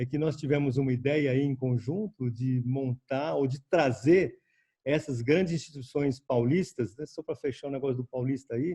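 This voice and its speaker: Somewhat breathy and dark, mellow in tone, the man's voice sits at a fairly high pitch. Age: old. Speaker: senior scientist. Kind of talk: panel talk. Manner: halting.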